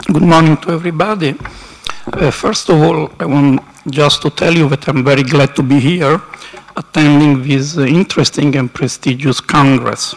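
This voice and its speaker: Over noticeable background noise, the speech moves at a moderate pace with fairly even intonation and very even loudness. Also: man, fairly high pitch for a man. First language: Italian. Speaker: university council representative. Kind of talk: conference speech. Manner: halting.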